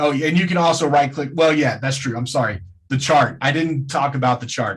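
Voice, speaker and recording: Somewhat breathy, a man talks at a fairly quick pace with fairly high pitch and ordinary pitch variation. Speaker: trading webinar presenter. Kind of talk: webinar tutorial.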